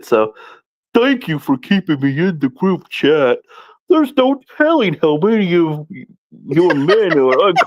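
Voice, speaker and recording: In a put-on character voice, the lines unfold fairly slowly. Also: man, high pitch for a man. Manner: dim, slow.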